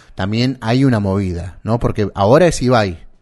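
Speaking with a Rioplatense accent, a man uses a fairly low pitch, a dark, mellow tone and ordinary pitch variation. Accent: Argentine Rioplatense Spanish. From Santa Fe, Argentina. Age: 40s. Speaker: podcast co-host. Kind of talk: casual chat. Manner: hesitant, many filler words.

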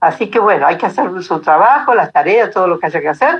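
Her pitch sits at a medium level for a woman and swings very widely. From Argentina, Buenos Aires and Córdoba. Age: 80s+. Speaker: retired traveller living in a motorhome. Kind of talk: interview.

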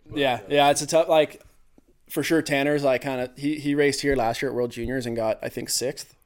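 Using an ordinary speaking voice, a man talks at a fairly quick pace and fairly high pitch with fairly even intonation. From California, US. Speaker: ski cross racer. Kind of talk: casual chat.

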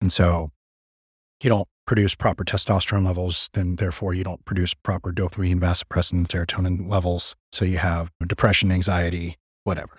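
A man with a very deep, low pitch talks at a fairly quick pace in a monotone, flat intonation, somewhat breathy, with a dry, close sound and no echo. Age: 30s. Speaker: gym owner and personal trainer. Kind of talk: casual chat.

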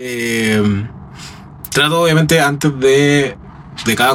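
A man with a Chilean accent speaks in fairly even intonation, with audible room echo and noticeable background noise. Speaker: singer in a tribute band. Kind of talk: casual interview.

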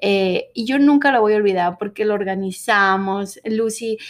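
A woman speaks at a fairly slow pace and medium pitch in an unremarkable speaking voice. The recording is very clean, with a silent background. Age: 30s. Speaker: podcast host. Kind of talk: casual monologue.

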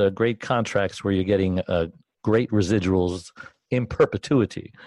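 A man with a normal speaking voice talks at a fairly low pitch with ordinary pitch variation. The sound is dry and close with no echo, and the background is quiet. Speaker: co-host, caregiver advocate. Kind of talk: interview.

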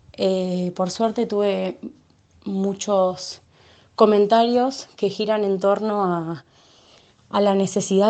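Her intonation stays fairly even as the woman speaks at a very slow pace. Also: long, frequent pauses. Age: 20s. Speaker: community health worker. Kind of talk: testimony. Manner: halting.

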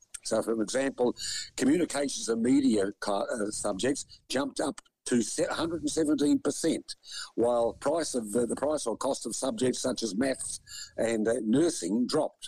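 A man with an Australian accent speaks at a fairly slow pace in a medium pitch with ordinary pitch variation, the sound dry and close with no echo. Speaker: radio news co-host. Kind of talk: casual news discussion on radio. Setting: radio studio.

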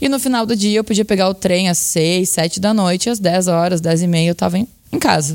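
A woman with a Brazilian accent, medium pitch, ordinary pitch variation, very even loudness and a fairly quick pace. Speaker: journalist and university lecturer. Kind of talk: interview.

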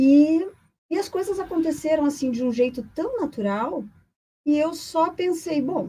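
A high-pitched woman's voice with a dark, mellow tone and very wide pitch swings. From Brazil, Paraná (Curitiba). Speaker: psychologist. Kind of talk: podcast interview. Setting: studio, live on radio.

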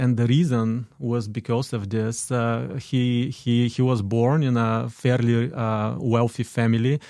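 A dark, mellow voice with a Bulgarian accent flows with hardly any pauses and very even loudness. The recording is very clean, with a silent background. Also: man, medium pitch for a man, fairly even intonation. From Bulgaria (Dobrich, northeast). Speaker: immigrant sharing life story. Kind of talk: radio interview. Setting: studio.

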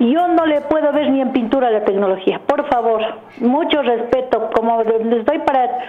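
Speaking at a fairly slow pace, a woman with a high pitch keeps her loudness very even and her pitch variation ordinary, with audible room echo and noticeable background noise. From southern Quito, Ecuador. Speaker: radio caller. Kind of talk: phone-in opinion. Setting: phone call. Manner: animated.

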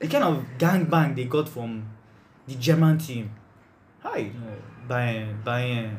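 Speaking at a very slow pace with long, frequent pauses, a man is heard over noticeable background noise and audible room echo. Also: medium pitch for a man, ordinary pitch variation. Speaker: podcast host. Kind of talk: casual chat.

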